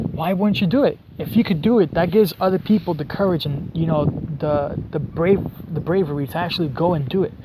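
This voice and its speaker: Fairly quick, high-pitched male speech over noticeable background noise. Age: 20s. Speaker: vlogger. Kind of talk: casual vlog monologue. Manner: animated.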